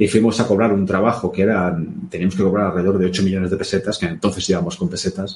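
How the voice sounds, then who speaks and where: A somewhat breathy, fairly low-pitched man talking at a very fast pace. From Spain. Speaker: former police officer and podcaster. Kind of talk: casual interview. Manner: halting, frequent repetitions.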